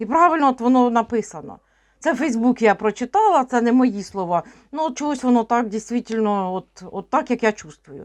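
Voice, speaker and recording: A woman speaks in a normal speaking voice at a fairly high pitch and a moderate pace, with lively intonation and big swings in loudness, against a quiet background. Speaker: tarot reader and witch vlogger. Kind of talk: casual monologue vlog with tarot reading.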